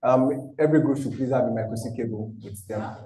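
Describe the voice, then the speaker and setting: In a room with audible echo, a man talks with fairly even intonation. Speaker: electronics engineer instructor. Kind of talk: lecture. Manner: fast.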